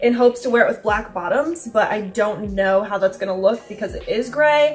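Over faint music in the background, a woman speaks at a fairly quick pace with ordinary pitch variation. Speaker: vlogger. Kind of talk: casual vlog chat. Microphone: camera far.

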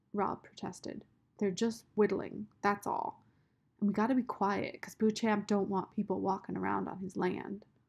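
The speaker reads in a natural voice. Intonation is kept fairly even.

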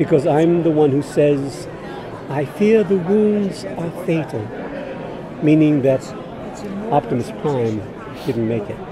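Against crowd noise in the background, a man speaks at a fairly slow pace with long, frequent pauses. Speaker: voice actor guest. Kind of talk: interview answer. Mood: warm, reminiscing. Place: hall.

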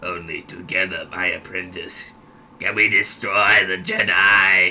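A man uses a put-on character voice that is raspy and very deep. He speaks at a fairly slow pace. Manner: raspy, crazy old man voice.

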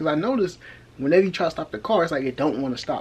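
This man talks at a very fast pace with lively intonation. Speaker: car project vlogger. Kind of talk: casual vlog chat. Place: home room. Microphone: phone near.

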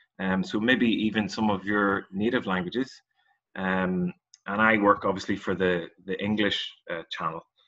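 The man's pitch is low and his tone bright and sharp. He keeps a moderate pace. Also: fairly even intonation.

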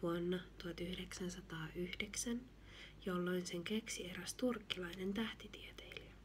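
Soft-spoken and gentle in tone, the voice moves at a fairly slow pace with fairly even intonation over light background noise. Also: woman. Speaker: ASMR reader. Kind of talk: gentle reading of a children's book. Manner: soft-spoken, gentle.

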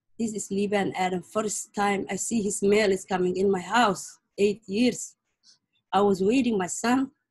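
Somewhat breathy, a woman talks at a fairly slow pace with fairly even intonation against a quiet background. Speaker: mother of prisoner. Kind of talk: testimony. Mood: worried, grieving, earnest. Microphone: video call.

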